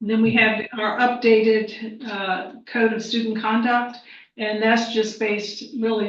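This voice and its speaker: A woman speaks at a fairly slow pace in a fairly high, somewhat breathy voice with fairly even intonation. Audible room echo surrounds her. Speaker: school superintendent. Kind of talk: board meeting report. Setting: board meeting.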